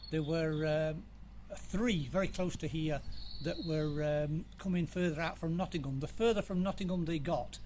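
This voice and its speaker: With fairly even intonation and a moderate pace, a man speaks at a fairly high pitch amid audible room echo. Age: 60s. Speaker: museum volunteer. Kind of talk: interview.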